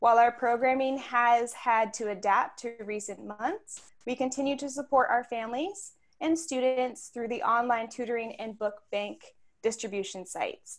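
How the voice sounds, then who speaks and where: The background is quiet as a woman speaks at a high pitch. Her pace is moderate, and her pitch varies in an ordinary way. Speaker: outreach director hosting a lecture series. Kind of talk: event hosting. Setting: video call. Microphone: video call.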